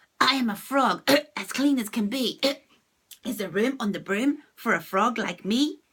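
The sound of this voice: This is a put-on character voice with a croaky sound. It moves at a moderate pace. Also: woman, fairly high pitch for a woman.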